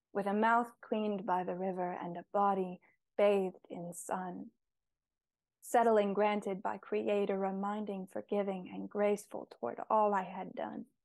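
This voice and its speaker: A woman talks in a plain, everyday voice. Her pace is fairly slow and her pitch medium. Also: big swings in loudness. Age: 20s. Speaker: nature poet and painter. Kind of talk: interview conversation with poetry readings.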